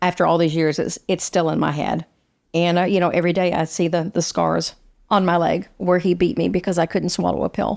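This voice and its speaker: In a fairly low voice with vocal fry, a woman speaks at a fairly quick pace with monotone, flat intonation and very even loudness. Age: 60s. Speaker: guest sharing childhood abuse story. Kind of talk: podcast interview testimony. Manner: halting, repeats words.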